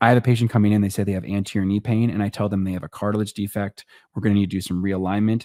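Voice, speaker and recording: A man speaks at a fairly low pitch in a dark, mellow tone, his intonation fairly even. The sound is dry and close with no echo, on a very clean recording with a silent background. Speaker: orthopedic surgeon. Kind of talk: casual chat. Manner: fast.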